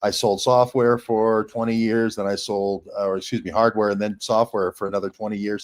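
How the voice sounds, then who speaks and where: An ordinary speaking voice from a man, medium in pitch, with fairly even intonation, a dry, close sound without echo, and a very clean recording over a silent background. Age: 60s. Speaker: independent journalist. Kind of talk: interview.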